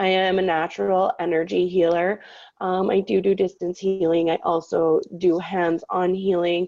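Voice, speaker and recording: A woman with a Canadian accent speaks at a moderate pace and medium pitch, her intonation monotone and flat, her tone dark and mellow, and her loudness very even. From Canada, Saskatchewan. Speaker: psychic medium radio host. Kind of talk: casual talk show intro.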